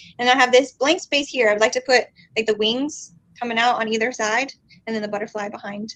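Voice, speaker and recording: A woman talks very fast in a fairly high pitch. Her tone is bright and sharp, her intonation fairly even. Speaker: tattoo enthusiast guest. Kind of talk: casual livestream chat.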